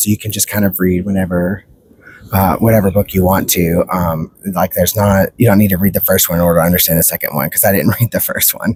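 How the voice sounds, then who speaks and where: Soft-spoken and fairly quick, a man with a very deep, low pitch keeps a fairly even intonation in a dry, close sound with no echo. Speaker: book reviewer. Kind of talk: casual vlog review. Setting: outdoors at the beach. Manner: halting.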